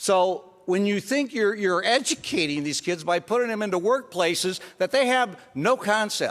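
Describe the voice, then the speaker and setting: A man with a high-pitched voice speaks at a moderate pace, with lively intonation and hardly any pauses. His tone is passionate. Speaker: state senator. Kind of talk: legislative floor speech, impassioned. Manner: passionate, raised voice, indignant.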